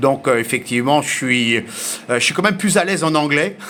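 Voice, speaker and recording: Noticeable background noise surrounds a man speaking at a moderate pace. His pitch is fairly high, with ordinary variation. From grew up mostly abroad, French. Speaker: amateur radio operator. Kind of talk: radio contact conversation. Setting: shortwave radio contact. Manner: hesitant, many fillers.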